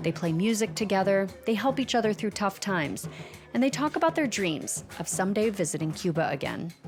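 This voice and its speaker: Woman at a medium pitch with lively intonation and a fairly quick pace, music playing in the background. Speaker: podcast reporter. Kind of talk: documentary narration.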